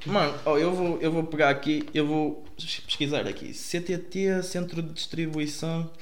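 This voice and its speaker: A man speaks with a high voice. Audible room echo and noticeable background noise fill the recording. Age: 20s. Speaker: music producer. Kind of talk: casual chat.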